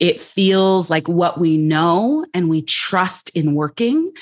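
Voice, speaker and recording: At a very slow pace, a woman talks with a medium pitch. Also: very clean recording, silent background. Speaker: clinical psychologist and coach. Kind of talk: interview answers, conversational. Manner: outspoken, powerful voice.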